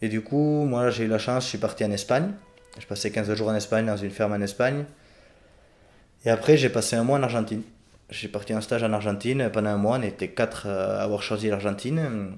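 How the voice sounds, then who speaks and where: A man speaks at a moderate pace with fairly low pitch and ordinary pitch variation. His pauses are long and frequent. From Béarn, France. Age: 20s. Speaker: farmer. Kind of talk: podcast interview answer.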